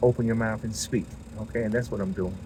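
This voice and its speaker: A mumbling, somewhat breathy man with a fairly low pitch and a dark, mellow tone. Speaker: podcaster. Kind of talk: casual monologue. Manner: halting.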